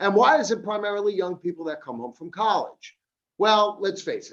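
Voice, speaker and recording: A man with a Long Island accent talks at a fairly quick pace. His pitch variation is ordinary. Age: 50s. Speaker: addiction counselor. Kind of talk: seminar talk. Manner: animated.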